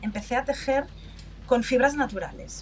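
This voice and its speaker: A high-pitched woman's voice at a moderate pace, with ordinary pitch variation and noticeable background noise. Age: 50s. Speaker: customer experience manager. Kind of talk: interview.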